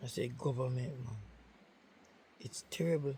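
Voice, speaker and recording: Somewhat breathy and at a moderate pace, a man talks with a Jamaican accent. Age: old. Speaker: cattle farmer. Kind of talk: casual talk to camera.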